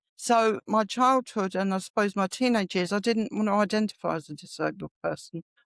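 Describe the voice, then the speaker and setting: Speaking at a fairly quick pace with hardly any pauses, a woman of medium pitch uses ordinary pitch variation in a London accent, heard in a dry, close sound with no echo. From London, England. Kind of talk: interview conversation. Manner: halting.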